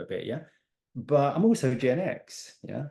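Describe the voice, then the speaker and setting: The voice has a dark, mellow tone and an English accent. Its intonation is lively, and the pace is fairly slow. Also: man. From England. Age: 60s. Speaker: life and business coach. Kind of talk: podcast interview.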